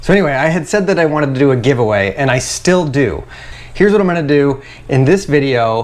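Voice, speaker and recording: Very fast and animated, a man speaks at a fairly high pitch with lively intonation and very even loudness. Noticeable background noise runs underneath. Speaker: carpenter and YouTuber. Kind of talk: casual vlog to camera.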